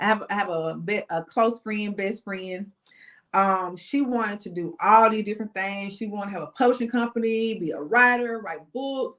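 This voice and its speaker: A woman with a Southern US accent speaks with big swings in loudness. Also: medium pitch for a woman, ordinary pitch variation, moderate pace. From Mississippi, US South. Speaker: insurance agent and business consultant. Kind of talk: interview.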